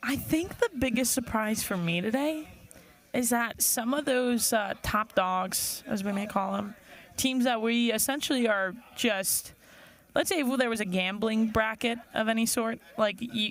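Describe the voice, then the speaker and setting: A woman's fairly high voice moves at a moderate pace, its pitch rising and falling in an ordinary way. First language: not English. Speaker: sailing commentator. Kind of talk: live sports commentary. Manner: casual, conversational.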